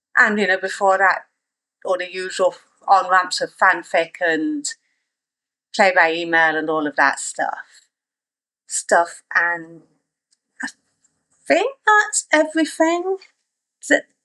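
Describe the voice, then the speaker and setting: A woman at a very slow pace, with long, frequent pauses, in a dry, close sound with no echo. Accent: slight East Midlands. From England, East Midlands (Nottingham). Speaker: author. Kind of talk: casual interview.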